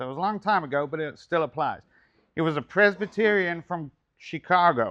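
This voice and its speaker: A man with an American accent and a high pitch speaks in a bright, sharp tone at a moderate pace with ordinary pitch variation over a quiet background. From England. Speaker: speaker at men's ministry meeting. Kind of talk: talk at church men's meeting.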